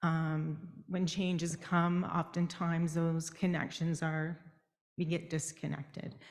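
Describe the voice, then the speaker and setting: Flat and monotone, a woman speaks at a fairly slow pace with a fairly low pitch. Her loudness stays very even. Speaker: education department manager. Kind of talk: audience comment at conference. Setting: conference room with audience, also on Zoom.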